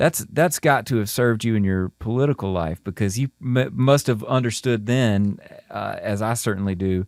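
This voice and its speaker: Moderate, nearly pause-free speech with a Southern US accent and ordinary pitch variation, in a very clean recording against a silent background, the sound dry and close with no echo. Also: man, medium pitch for a man. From Mississippi. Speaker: podcast host, musician. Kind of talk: interview conversation. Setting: podcast interview.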